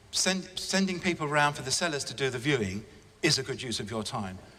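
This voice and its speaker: Audible room echo carries a man's fairly high-pitched voice in an English accent, marked by very wide pitch swings. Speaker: estate agency director. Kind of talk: conference talk. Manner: fast; enthusiastic.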